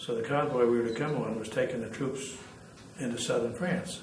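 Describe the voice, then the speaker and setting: A man with an American accent and ordinary pitch variation, amid audible room echo and noticeable background noise. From New York City. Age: 80s+. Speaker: war veteran. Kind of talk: oral history interview. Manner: halting.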